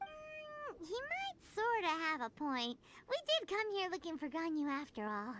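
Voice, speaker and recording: A put-on character voice at an extremely high pitch, with very wide pitch swings and a moderate pace. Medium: video game. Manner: lively, blunt.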